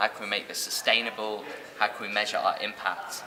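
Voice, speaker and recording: A British-accented man at a fairly quick pace over noticeable background noise. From England. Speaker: social entrepreneur. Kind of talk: interview.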